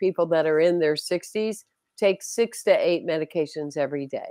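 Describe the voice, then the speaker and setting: A woman has a normal speaking voice at a medium pitch, with ordinary pitch variation and a moderate pace. The background is quiet, and the sound is dry and close with no echo. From US South. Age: 60s. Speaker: spiritual leader. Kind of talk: interview conversation.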